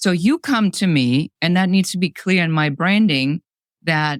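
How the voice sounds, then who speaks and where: Her German accent and lively intonation stand out as a woman with a fairly low pitch speaks in a dry, close sound with no echo. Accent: German accent, moderate. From Germany. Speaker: business coach. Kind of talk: podcast interview. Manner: direct, to the point.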